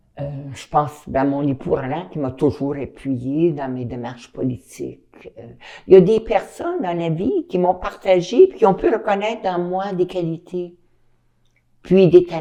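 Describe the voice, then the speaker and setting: With a fairly low pitch and a dark, mellow tone, a woman speaks at a fairly slow pace, her intonation lively and her loudness swinging widely. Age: 70s. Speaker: retired teacher. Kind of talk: interview.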